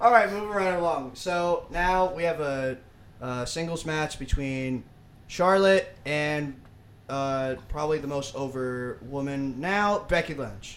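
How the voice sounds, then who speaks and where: Here a man talks fairly slowly in an ordinary speaking voice. His pitch is fairly high, with ordinary pitch variation. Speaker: wrestling podcast co-host. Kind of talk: casual banter about wrestling.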